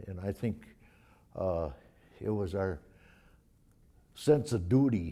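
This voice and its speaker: In a very clean recording with a silent background, a man with a fairly low pitch and a dark, mellow tone speaks at a fairly slow pace. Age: 80s+. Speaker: war veteran. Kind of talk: interview. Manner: halting.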